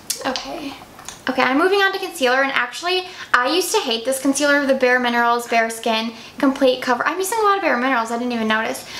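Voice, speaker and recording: A woman talks at a very fast pace and high pitch with lively intonation, with audible room echo and noticeable background noise. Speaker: beauty vlogger. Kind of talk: makeup tutorial, casual chat.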